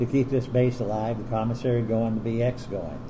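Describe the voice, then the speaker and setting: A man speaks at a medium pitch. Room echo is audible. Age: 80s+. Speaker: military retiree representative at a base club meeting. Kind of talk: meeting feedback, complaints.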